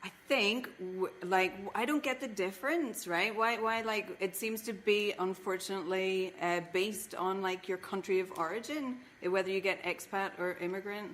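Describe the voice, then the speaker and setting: A woman with an Irish accent speaks at a moderate pace and medium pitch, with ordinary pitch variation and hardly any pauses. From Ireland. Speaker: comedian. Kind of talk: casual chat.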